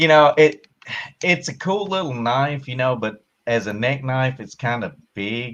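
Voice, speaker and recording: Lively intonation marks this strong Southern US accent. The pace is fairly slow. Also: man, medium pitch for a man. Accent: strong country Southern. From Kentucky, US South. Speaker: army veteran, tank loader. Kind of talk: casual live-stream chat. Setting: hot room at home, air conditioner off.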